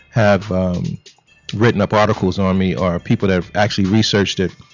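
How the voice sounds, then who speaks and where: Noticeable background noise sits behind the voice. The man's intonation stays fairly even. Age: 60s. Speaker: retired karate fighter. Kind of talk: casual interview.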